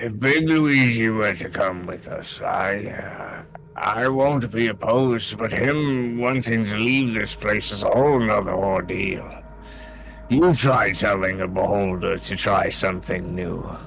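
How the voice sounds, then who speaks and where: A man puts on a gruff character voice at medium pitch. He speaks at a fairly slow pace with clear music in the background. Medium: actual play. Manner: gruff, profane.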